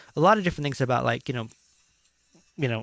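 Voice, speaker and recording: The audio of this man is very clean, and the background is silent. No echo colors the dry, close sound. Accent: American. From California, Chicano. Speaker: talk show host. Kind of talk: casual chat. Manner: halting, many fillers.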